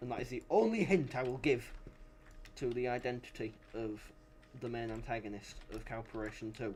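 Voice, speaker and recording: A man of medium pitch speaks with a British accent. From Britain. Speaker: game developer and streamer. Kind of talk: casual commentary while gaming on stream. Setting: livestream with voice chat. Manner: animated.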